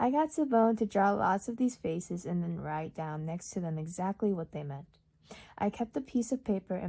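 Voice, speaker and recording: Somewhat breathy, a woman of medium pitch and dark, mellow tone speaks at a moderate pace with lively intonation. The recording is very clean, with a silent background. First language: Urdu. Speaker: audiobook reader. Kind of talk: reading aloud. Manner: occasional stumbles and repeats.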